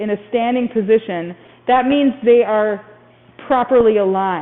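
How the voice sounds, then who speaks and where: A woman with an American accent, animated in tone, at a fairly slow pace amid noticeable background noise. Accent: Minnesota accent, comes through at times. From Minnesota. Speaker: physical therapist. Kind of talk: continuing education discussion. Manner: animated, self-interrupting.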